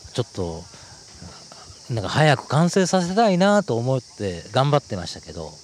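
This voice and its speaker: A man talks with very wide pitch swings. Background noise is noticeable. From Osaka, Japan (Umeda). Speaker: author. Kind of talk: casual interview chat. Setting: outdoors on a park bench.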